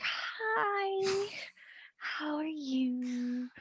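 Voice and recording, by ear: A female-sounding, high-pitched put-on character voice carries the clip.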